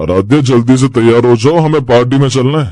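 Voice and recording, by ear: Here a man uses a cartoonish character voice. It sits at medium pitch with ordinary pitch variation.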